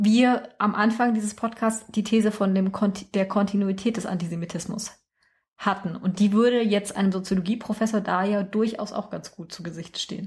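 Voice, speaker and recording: On a very clean recording with a silent background, a somewhat breathy voice speaks at a moderate pace in monotone, flat intonation. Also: woman, medium pitch for a woman. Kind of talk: casual chat. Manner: rises in pitch when nervous.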